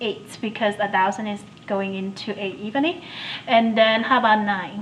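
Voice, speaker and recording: Amid noticeable background noise and audible room echo, a woman talks at a moderate pace, her fairly high pitch showing ordinary variation. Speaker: math instructor. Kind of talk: lecture.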